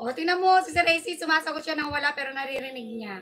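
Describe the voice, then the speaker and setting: Her voice is raised and projected, pitched high for a woman. She uses lively intonation. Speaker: livestream host. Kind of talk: livestream chat. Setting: live stream. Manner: loud; animated.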